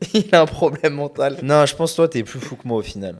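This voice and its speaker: The speaker has a slight Lyon accent. The intonation is lively. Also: man. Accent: faint Lyon. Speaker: podcast host, e-commerce entrepreneur. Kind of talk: casual chat.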